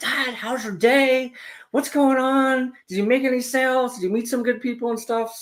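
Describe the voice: Here is a put-on character voice with a fairly high pitch. It keeps to a moderate pace.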